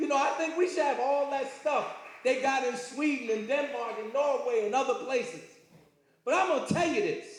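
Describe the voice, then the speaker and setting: In a room with audible echo and noticeable background noise, a man talks in an animated tone at a fairly quick pace, his extremely high-pitched voice full of lively intonation. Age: 70s. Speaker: lecturer. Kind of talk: lecture.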